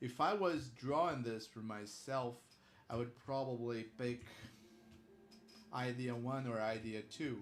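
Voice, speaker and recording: Audible room echo surrounds a man speaking at a fairly slow pace. He leaves long, frequent pauses, with ordinary pitch variation. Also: medium pitch for a man. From Brazil. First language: Portuguese. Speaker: illustrator streaming drawing work. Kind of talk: live stream drawing chat. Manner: halting, many fillers.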